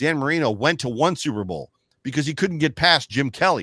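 A man with an American accent speaks at a moderate pace with a fairly high pitch, lively intonation and vocal fry. The recording is very clean with a silent background and a dry, close sound with no echo. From Buffalo, New York. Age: 50s. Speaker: football fan commentator. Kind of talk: casual chat.

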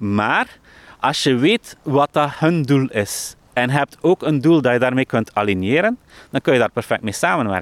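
A man speaks at a fairly slow pace with lively intonation, in a plain, everyday voice. His pitch is medium, and the sound is dry and close with no echo. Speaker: software entrepreneur and author. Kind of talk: interview. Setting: outdoors in a park.

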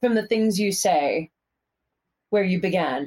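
A woman talks with an American accent. Her pace is fairly slow. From US Northeast, Pennsylvania. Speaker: fitness instructor and cyclist. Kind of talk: casual interview chat. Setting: video call.

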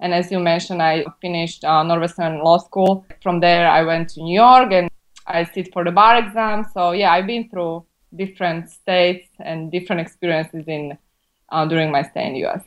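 Speaking at a moderate pace, a woman with a Slovak accent keeps a fairly low pitch and fairly even intonation. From Slovakia. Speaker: immigration lawyer. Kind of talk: interview.

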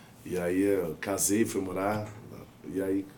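This man's voice sits rather low. He delivers everything flat, with no melody. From southern Minas Gerais, Brazil, near São Paulo border. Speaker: sertanejo singer. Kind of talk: casual chat.

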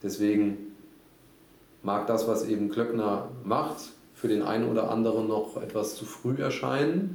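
Fairly slow and fairly low-pitched, a man talks with long, frequent pauses in a room with audible echo. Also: ordinary pitch variation. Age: 30s. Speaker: startup founder. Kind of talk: interview.

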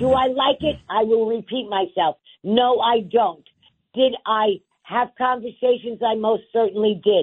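Someone speaks with a New York accent. The pace is fairly slow. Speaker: city council member. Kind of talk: radio interview. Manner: loud; emphatic.

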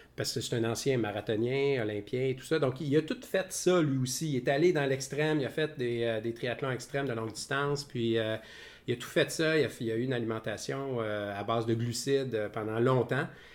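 The man speaks at a medium pitch with ordinary pitch variation. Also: moderate pace. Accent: Quebec. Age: 50s. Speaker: podcast co-host. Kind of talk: casual chat. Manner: halting.

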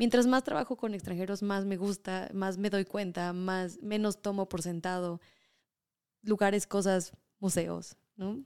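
A woman's normal speaking voice, medium in pitch, fairly slow and fairly even, with a dry, close sound and no echo. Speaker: culinary tour guide. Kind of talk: casual chat.

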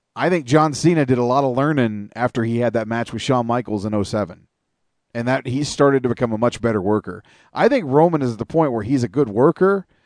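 Against a quiet background, a man talks at a very fast pace and medium pitch with ordinary pitch variation, the sound dry and close with no echo. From Canada. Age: 40s. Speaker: podcast host.

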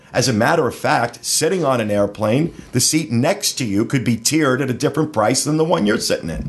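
In a plain, everyday voice, the speaker moves at a fairly quick pace with lively intonation and hardly any pauses. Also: man, medium pitch for a man. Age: 50s. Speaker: podcast host. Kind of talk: news reading; casual chat. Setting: studio.

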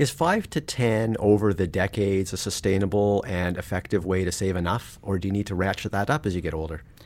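A man with a Canadian accent and an unremarkable speaking voice talks at a fairly low pitch with ordinary pitch variation. His pace is fairly quick, with hardly any pauses. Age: 50s. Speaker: personal finance journalist and podcast host. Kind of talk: interview. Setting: studio.

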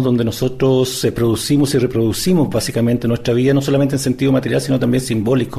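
A man talks at a very fast pace and a medium pitch, with fairly even intonation. Noticeable background noise is present. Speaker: sociologist, university professor. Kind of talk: interview. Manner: halting.

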